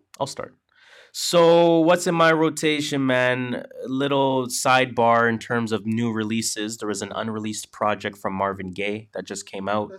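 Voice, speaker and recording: The recording is very clean, with a silent background. The speaker uses lively intonation at a moderate pace. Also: man, medium pitch for a man. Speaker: podcast host. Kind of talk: casual chat. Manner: animated.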